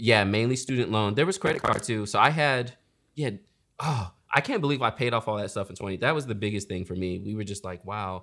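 A man's fairly low, plain, everyday voice at a fairly quick pace with ordinary pitch variation, on a very clean recording with a silent background. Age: 30s. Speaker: wedding photographer and YouTuber. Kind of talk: casual chat.

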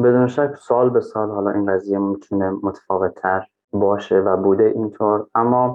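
A plain, everyday voice from a man, fairly low-pitched, with fairly even intonation and a moderate pace. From Afghanistan, raised in Iran. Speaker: Afghan migrant. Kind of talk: interview.

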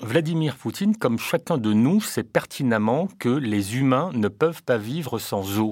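A man with a normal speaking voice talks at a medium pitch and a fairly slow pace. His intonation is lively, and the recording is very clean with a silent background. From Réunion. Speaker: politician. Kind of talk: radio interview. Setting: studio. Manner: formal.

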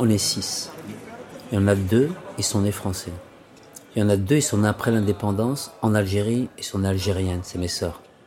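Amid noticeable background noise, a man with a fairly low pitch speaks with long, frequent pauses. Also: ordinary pitch variation, moderate pace. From Paris suburbs, France. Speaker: interviewee. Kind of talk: personal testimony.

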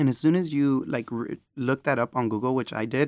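A man with an American accent talks at a moderate pace in a normal speaking voice of medium pitch, with fairly even intonation. The recording is very clean, with a silent background. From Texas. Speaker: student affairs podcast host. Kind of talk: interview.

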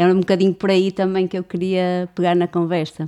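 A woman speaks with a fairly low pitch and a dark, mellow tone. The recording is very clean, with a silent background. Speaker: podcast host. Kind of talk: interview conversation.

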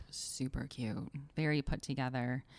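A woman's animated tone comes across on a very clean recording with a silent background. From Connecticut. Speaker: podcast co-host. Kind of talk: casual chat.

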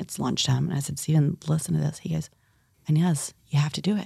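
A woman with an American accent talks at a very deep, low pitch, with vocal fry and a dark, mellow tone. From US South, eastern North Carolina. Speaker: restaurant and brewery owner, author. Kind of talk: interview, personal storytelling.

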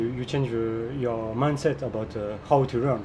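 In a French accent, the speaker talks at a moderate pace amid noticeable background noise and audible room echo. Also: man. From France. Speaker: French teacher and interviewer. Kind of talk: interview. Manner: halting, many fillers.

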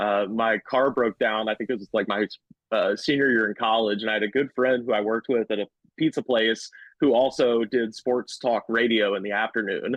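Fairly even intonation from a man in a Southern US accent. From US South. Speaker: comedian. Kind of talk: casual chat. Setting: studio.

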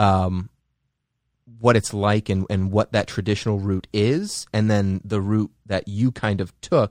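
Against a quiet background, a man with a normal speaking voice talks fairly slowly at a fairly low pitch, the sound dry and close with no echo. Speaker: podcast host. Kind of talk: casual interview.

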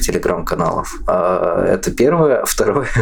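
Slow-ish, fairly unhurried male speech amid noticeable background noise and audible room echo. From Russia, Orenburg. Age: 20s. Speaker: blind system administrator. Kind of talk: casual interview.

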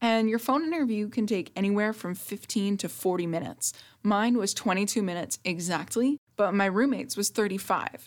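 A woman with a plain, everyday voice talks at a medium pitch and fairly quick pace, with ordinary pitch variation and hardly any pauses. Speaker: podcast host. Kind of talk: solo tutorial podcast. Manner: upbeat, friendly.

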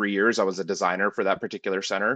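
This man talks very fast in a fairly low voice with a bright, sharp tone, and the sound is dry and close with no echo. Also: quiet background. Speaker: sign design team director. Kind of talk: casual interview. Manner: halting.

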